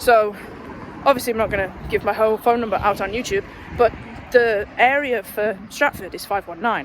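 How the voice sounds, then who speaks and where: Over noticeable background noise, a woman with a fairly high pitch talks at a moderate pace, her loudness swinging widely. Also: ordinary pitch variation. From northwest England, Runcorn. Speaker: vlogger. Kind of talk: casual vlog. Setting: outdoors walking. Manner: quiet.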